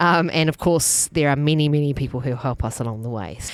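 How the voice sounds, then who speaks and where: A woman with a New Zealand accent speaks at a fairly quick pace in a very deep, low voice with ordinary pitch variation. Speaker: food festival organiser. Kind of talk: casual interview chat.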